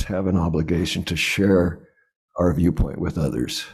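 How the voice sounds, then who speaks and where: A man talks at a moderate pace in a dark, mellow tone, with audible room echo around him. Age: 80s+. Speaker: lay speaker at church service. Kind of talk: sermon. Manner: halting.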